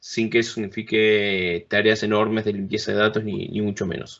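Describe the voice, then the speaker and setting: An unremarkable speaking voice from a man, fairly low in pitch, at a moderate pace. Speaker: conference speaker on business software. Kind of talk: technical presentation. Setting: remote talk at a conference event.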